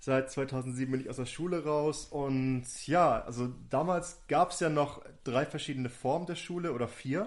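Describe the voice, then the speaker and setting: Fairly high in pitch, a man talks at a fairly slow pace with fairly even intonation and hardly any pauses. His is an unremarkable speaking voice. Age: 30s. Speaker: youth party district manager. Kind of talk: casual chat.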